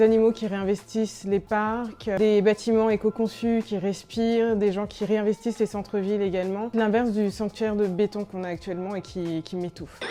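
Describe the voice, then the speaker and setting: Speaking at a moderate pace, a woman has a fairly high pitch and fairly even intonation. Her tone is dark and mellow. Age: 20s. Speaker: brand founder. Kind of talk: interview answers. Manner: hesitant with frequent fillers.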